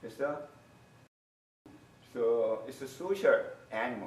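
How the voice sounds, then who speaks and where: A man speaks with a Korean accent at a fairly slow pace, using ordinary pitch variation. Audible room echo surrounds his voice. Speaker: university lecturer. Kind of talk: lecture. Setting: classroom. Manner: halting.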